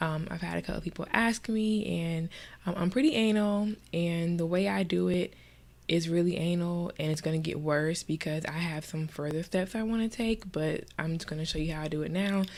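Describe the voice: The voice is nasal with a slightly mellow tone. Intonation stays fairly even at a moderate pace. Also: woman, fairly low pitch for a woman.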